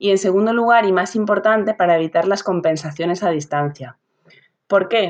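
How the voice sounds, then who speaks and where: A woman with an ordinary speaking voice speaks at a moderate pace. Her pitch is medium, with ordinary pitch variation. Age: 30s. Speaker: sports physiotherapist. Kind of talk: interview. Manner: explanatory.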